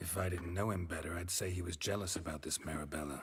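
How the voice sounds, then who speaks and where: Someone rattles off lines at a very fast pace in a put-on character voice. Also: man, very deep, low pitch for a man. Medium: video game. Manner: terse, dry.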